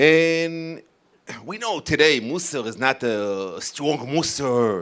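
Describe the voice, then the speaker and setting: Speaking very slowly, a man with an Israeli accent has a fairly high pitch. His pitch swings very widely. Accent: Israeli Hebrew accent in English. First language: Hebrew. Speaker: rabbi and youth educator. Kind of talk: talk to an audience. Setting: community event with audience. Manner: halting.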